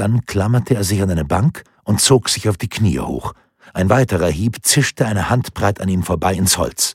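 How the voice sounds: The pitch varies in an ordinary way throughout this natural reading voice.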